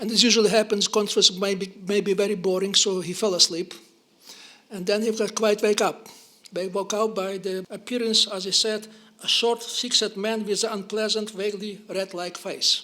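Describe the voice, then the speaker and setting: A raised, projected voice with a Ukrainian accent and monotone, flat intonation, over noticeable background noise. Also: man, high pitch for a man. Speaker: historian, professor. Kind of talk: lecture. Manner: fast; halting, stammering.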